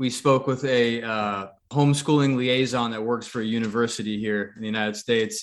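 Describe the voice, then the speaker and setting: Speaking at a fairly quick pace, a man with an American accent has a normal speaking voice. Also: medium pitch for a man, fairly even intonation. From New England, US. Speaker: podcast co-host. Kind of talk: casual interview chat.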